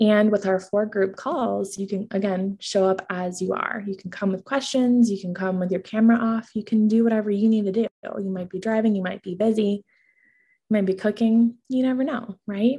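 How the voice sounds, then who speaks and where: The woman's voice has a dark, mellow tone with a slight breathiness. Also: medium pitch for a woman, fairly even intonation, moderate pace. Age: 20s. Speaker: parenting coach and podcast host. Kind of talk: sales pitch.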